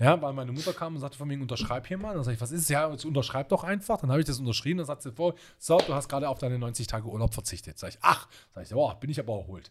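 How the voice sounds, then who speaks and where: A man at a fairly high pitch, somewhat breathy, at a very fast pace with lively intonation and big swings in loudness, on a very clean recording with a silent background. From Swabian Jura near Reutlingen, southern Germany. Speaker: hotel executive and consultant. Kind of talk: casual interview chat. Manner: animated.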